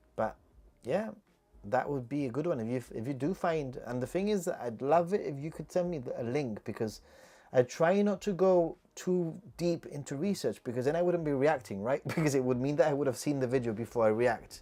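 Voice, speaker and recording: Speaking at a fairly quick pace with a British accent, a man uses a fairly high pitch, lively intonation, and a dark, mellow tone. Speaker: YouTuber. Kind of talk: livestream chat Q&A. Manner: casual, halting with repetitions.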